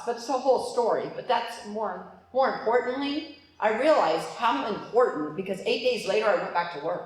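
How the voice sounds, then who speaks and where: A loud woman's voice at a moderate pace, with audible room echo and noticeable background noise. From Alaska. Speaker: business coach, motivational speaker. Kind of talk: motivational talk. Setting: stage with audience. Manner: animated.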